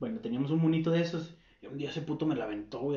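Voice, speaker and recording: Over noticeable background noise, a man with a fairly high pitch speaks at a very fast pace with ordinary pitch variation. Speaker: podcast co-host. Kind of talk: casual chat.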